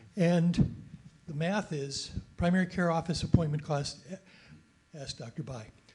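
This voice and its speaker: This man is loud, speaking at a moderate pace with a high pitch and ordinary pitch variation. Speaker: retired family doctor, audience member. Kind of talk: audience comment at panel.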